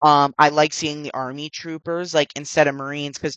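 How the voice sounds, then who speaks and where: A man with a bright, sharp tone speaks at a fairly quick pace, recorded with a dry, close sound and no echo. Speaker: gaming YouTuber. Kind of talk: casual commentary monologue. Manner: halting, many fillers.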